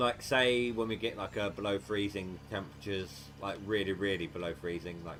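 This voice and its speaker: Over noticeable background noise, a man with ordinary pitch variation at a moderate pace. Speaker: gaming livestreamer. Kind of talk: casual livestream chat. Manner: stuttering.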